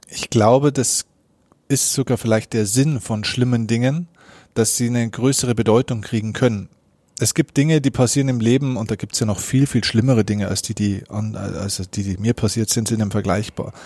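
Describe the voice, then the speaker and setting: The tone is dark and mellow, delivered at a moderate pace with ordinary pitch variation. The recording is very clean, with a silent background. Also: man, medium pitch for a man. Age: 30s. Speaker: mental coach and keynote speaker. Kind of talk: interview. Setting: in-person meeting after a workshop.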